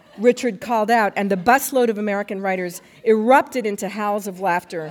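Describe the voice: What we hear is plain reading aloud.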